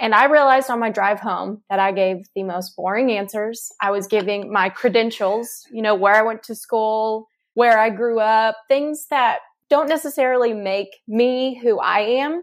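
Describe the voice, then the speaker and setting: It's a woman with an American accent and an unremarkable speaking voice, pitched fairly high with ordinary pitch variation. She speaks at a moderate pace against a quiet background. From Texas. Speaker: marketing director. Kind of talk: casual Q&A conversation.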